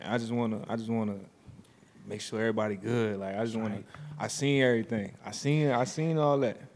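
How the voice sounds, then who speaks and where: Amid audible room echo, a man speaks at a very fast pace in a medium pitch with ordinary pitch variation. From Richmond, Virginia. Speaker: college basketball player. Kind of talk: casual interview. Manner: hesitant, many fillers.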